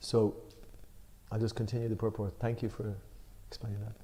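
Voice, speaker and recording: A man's dark, mellow, somewhat breathy voice. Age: 60s. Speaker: spiritual discussion leader. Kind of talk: religious study discussion. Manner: halting.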